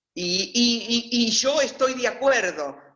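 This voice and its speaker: A woman is speaking. Her intonation is lively. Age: 60s. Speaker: interviewee, former convent student. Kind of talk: personal testimony. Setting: video call.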